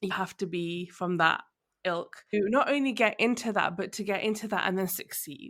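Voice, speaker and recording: A woman with a southern English accent speaks at a moderate pace, with a medium pitch and ordinary pitch variation. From London, England. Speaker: podcast host. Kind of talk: interview conversation.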